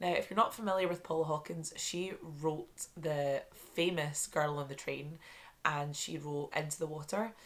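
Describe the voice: Delivered at a moderate pace, the speech has fairly even intonation. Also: woman, low pitch for a woman.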